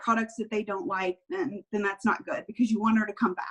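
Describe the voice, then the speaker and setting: A woman talks at a moderate pace in a fairly high, somewhat breathy voice, her pitch varying in an ordinary way. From Kentucky. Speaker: direct sales team leader. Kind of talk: training talk on a group call. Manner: animated.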